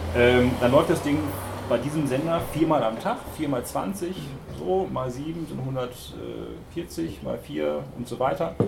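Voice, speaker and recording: The voice makes very wide pitch swings at a very slow pace, with noticeable background noise and audible room echo. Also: man, medium pitch for a man. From Hamburg. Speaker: radio music journalist. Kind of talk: panel discussion.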